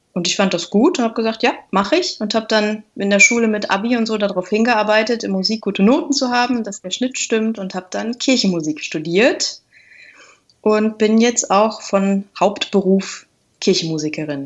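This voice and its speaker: A woman speaks in a plain, everyday voice at a moderate pace. Her fairly high pitch carries lively intonation. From Lüneburg Heath, northern Germany. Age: 30s. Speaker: organist and YouTuber. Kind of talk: interview.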